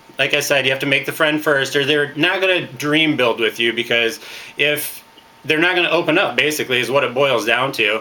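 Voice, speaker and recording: At a moderate pace, a man speaks with a fairly high pitch and ordinary pitch variation over noticeable background noise. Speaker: network marketing trainer. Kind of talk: training talk. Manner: loud; hesitant fillers.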